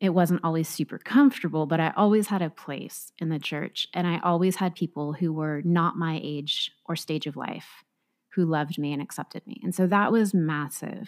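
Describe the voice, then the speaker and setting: With an American accent and a fairly low pitch, a woman speaks at a moderate pace with ordinary pitch variation, in a dry, close sound with no echo on a very clean recording with a silent background. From Southern California, Orange County. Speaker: pastor. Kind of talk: casual interview.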